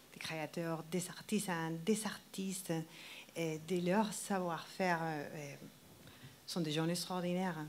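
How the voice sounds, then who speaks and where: A woman's fairly low voice with a Spanish accent, very slow pace, monotone, flat intonation, long, frequent pauses and audible room echo. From Colombia. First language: Spanish (speaking French). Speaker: wedding dress designer. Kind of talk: TV interview. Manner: halting.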